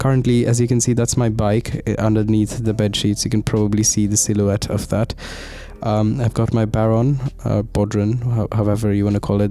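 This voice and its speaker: Amid noticeable background noise, a man talks at a fairly quick pace with monotone, flat intonation and very even loudness. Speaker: student vlogger. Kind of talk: voiceover narration. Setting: recording at midnight in student room. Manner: soft-spoken.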